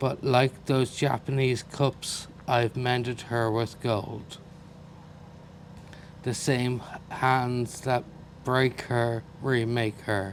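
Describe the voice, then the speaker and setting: In an Irish accent, a man of medium pitch speaks at a very slow pace with long, frequent pauses, very even loudness and monotone, flat intonation. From Ireland. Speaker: poet. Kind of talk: poetry reading.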